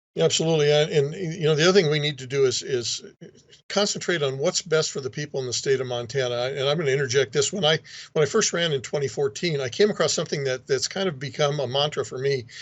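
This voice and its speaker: A man speaks at a very fast pace in a fairly high, somewhat breathy voice. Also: ordinary pitch variation. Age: 60s. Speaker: state legislator. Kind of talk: interview.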